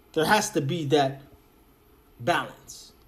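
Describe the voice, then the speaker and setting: A somewhat breathy man with a fairly high pitch speaks with ordinary pitch variation in audible room echo. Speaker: crypto YouTuber. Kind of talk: casual video monologue.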